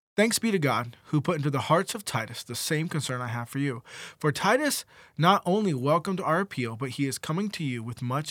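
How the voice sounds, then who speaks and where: A man with a plain, everyday voice talks at a fairly quick pace, fairly high in pitch, with lively intonation. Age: 20s. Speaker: co-host. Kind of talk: devotional discussion; reading aloud.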